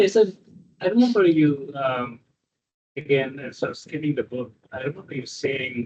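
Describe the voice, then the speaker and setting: At a moderate pace, a man with a fairly high, somewhat breathy voice uses lively intonation and big swings in loudness, leaving long, frequent pauses. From South India. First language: South Indian language. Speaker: podcast host. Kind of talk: interview. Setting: video call. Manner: halting.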